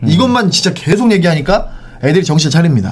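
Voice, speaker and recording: A man speaks in an animated tone with lively intonation. Noticeable background noise runs behind him. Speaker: sports podcast host. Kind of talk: casual sports talk show chat. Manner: animated, talkative.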